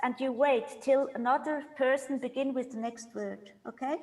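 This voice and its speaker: A high-pitched woman with a German accent, fairly even intonation, a moderate pace and hardly any pauses. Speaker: composer leading a workshop. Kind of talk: online rehearsal instruction. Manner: halting.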